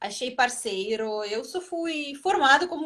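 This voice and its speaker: A woman speaks with a Russian accent. Her pace is very slow. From Russia, Moscow area. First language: Russian (speaking Portuguese). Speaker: ballroom dancer and teacher. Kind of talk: interview on a live stream. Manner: halting, searching for words.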